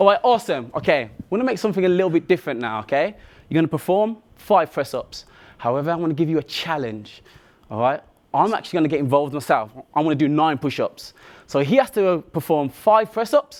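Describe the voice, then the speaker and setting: In a very clean recording with a silent background, a man with a Birmingham accent talks at a very fast pace. His fairly high voice sounds animated and swings very widely in pitch. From Birmingham, England. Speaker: athlete and motivational speaker. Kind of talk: motivational talk.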